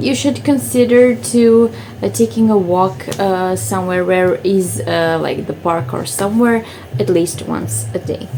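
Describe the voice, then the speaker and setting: Speaking with a Croatian accent, a woman uses a medium pitch and very wide pitch swings at a fairly slow pace, with noticeable background noise. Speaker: lifestyle vlogger. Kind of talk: casual vlog talk to camera. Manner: hesitant, many fillers.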